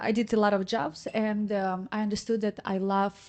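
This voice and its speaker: At a fairly slow pace and in monotone, flat intonation, the speaker talks against a quiet background. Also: woman. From Ukraine. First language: Russian or Ukrainian. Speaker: reggaeton singer. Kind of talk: podcast interview. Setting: studio. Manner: halting, searching for English words.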